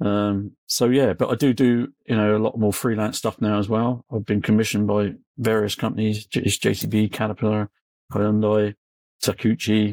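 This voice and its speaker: In a West Country accent, a man with a fairly low pitch talks at a moderate pace with fairly even intonation, and the sound is dry and close with no echo. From England. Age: 60s. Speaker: construction machinery blogger and journalist. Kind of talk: casual interview chat.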